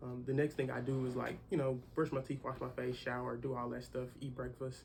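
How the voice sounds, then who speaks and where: A man talks at a fairly quick pace in a monotone, flat delivery that is somewhat breathy. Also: medium pitch for a man. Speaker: young entrepreneur. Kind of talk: casual interview.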